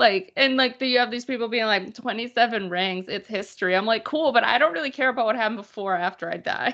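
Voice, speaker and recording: A woman with a Boston accent speaks very fast with hardly any pauses, her fairly high, bright and sharp voice animated, with ordinary pitch variation. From Boston area, Massachusetts. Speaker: sports writer. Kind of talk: casual chat.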